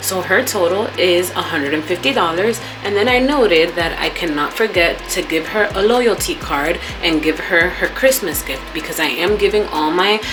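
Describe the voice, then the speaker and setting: Music plays in the background as a woman speaks with a fairly low pitch. The pace is moderate, and audible room echo is present. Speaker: esthetician and vlogger. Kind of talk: casual vlog talk. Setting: home studio.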